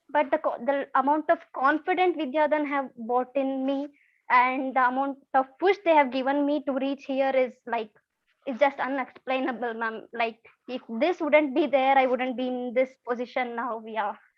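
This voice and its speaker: Her high-pitched voice keeps fairly even intonation as the woman speaks. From India, Karnataka. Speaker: former scholarship student, engineer. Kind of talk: testimony. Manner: fast; halting.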